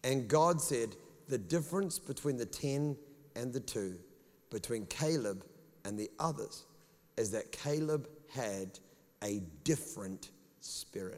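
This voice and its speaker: A man with a New Zealand accent speaks at a medium pitch and fairly slow pace. His pitch swings very widely, and he leaves long, frequent pauses. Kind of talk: sermon. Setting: church with congregation. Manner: animated, preacherly.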